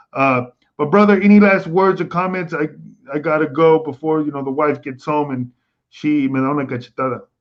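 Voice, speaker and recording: A man speaks at a fairly quick pace with ordinary pitch variation. He has a plain, everyday voice. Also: fairly high pitch for a man. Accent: American. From Texas. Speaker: live stream host. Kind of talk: casual chat on live stream. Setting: live stream.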